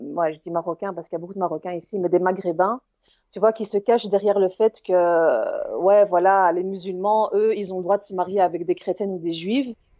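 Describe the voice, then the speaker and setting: In a Belgian accent, a woman of medium pitch talks at a fairly quick pace. Her intonation is fairly even, but her loudness swings widely. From Belgium. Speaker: caller. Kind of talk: heated debate. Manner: halting.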